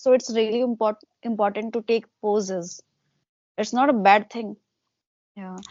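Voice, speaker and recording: With a fairly high pitch, a woman speaks in big swings of loudness, broken by long, frequent pauses. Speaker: English teacher. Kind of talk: casual chat. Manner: fast.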